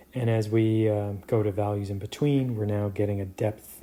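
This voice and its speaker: A man with a Canadian accent speaks at a moderate pace in a fairly low pitch. His somewhat breathy voice has a dark, mellow tone and fairly even intonation. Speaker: professor. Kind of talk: lecture. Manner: halting, many fillers.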